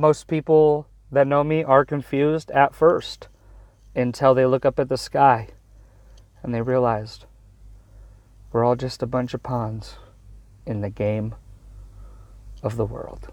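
A man's medium-pitched voice at a fairly slow pace, with ordinary pitch variation, long and frequent pauses, and a very clean recording over a silent background. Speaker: solo podcaster. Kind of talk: casual monologue. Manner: rambling, loose.

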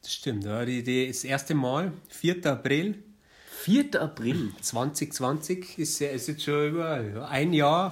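A man speaks at a very slow pace, somewhat breathy, with ordinary pitch variation. The recording is very clean, with a silent background. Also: fairly high pitch for a man. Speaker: podcast co-host. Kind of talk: casual chat. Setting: studio. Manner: animated.

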